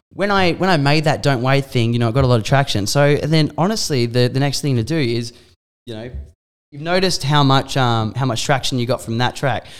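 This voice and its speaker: Speaking with an Australian accent, a man keeps a fairly quick pace at a medium pitch with ordinary pitch variation. The recording is very clean, with a silent background. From Australia, Mornington Peninsula, Victoria. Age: 20s. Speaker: DJ and nightclub manager. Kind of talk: casual chat.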